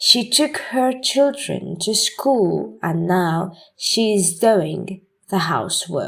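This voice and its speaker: Very slowly, a woman speaks at a medium pitch with vocal fry and lively intonation. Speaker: English teacher. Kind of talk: English reading practice lesson.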